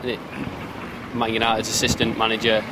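A man's fairly low pitch, monotone, flat intonation and fairly quick pace over clear background noise

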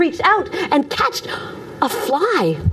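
The delivery is animated and dramatic at a fairly slow pace, with light background noise behind it. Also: woman. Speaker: storyteller. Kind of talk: storytelling performance, retelling a Greek myth. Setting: live audience. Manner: animated, dramatic; unhurried, narrative pacing with voiced character lines. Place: studio.

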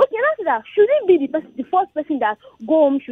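The voice moves through very wide pitch swings. The sound is dry with no echo, over a quiet background. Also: woman. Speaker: radio caller. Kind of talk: radio call-in opinion. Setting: phone call. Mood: earnest, somewhat upset. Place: studio.

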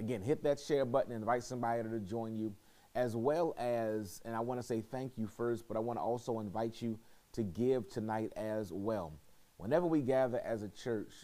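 The man's dark, mellow tone carries at a moderate pace. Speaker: pastor leading bible study. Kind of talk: prayer and church announcements. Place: hall.

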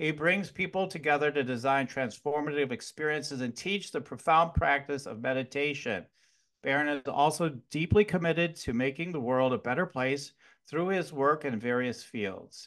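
A man at a moderate pace with ordinary pitch variation, over a quiet background. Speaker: podcast host. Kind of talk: podcast intro. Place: home room. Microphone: studio mic.

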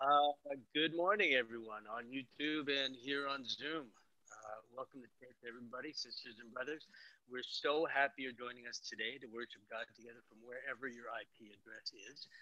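A man at a moderate pace with fairly even intonation, dry sound with no echo, and a quiet background. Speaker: church service host. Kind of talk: worship welcome address. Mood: warm, friendly. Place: home room. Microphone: headset.

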